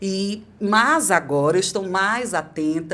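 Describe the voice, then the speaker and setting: A medium-pitched woman's voice comes through on a very clean recording against a silent background. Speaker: podcast host and voice coach. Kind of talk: podcast conversation.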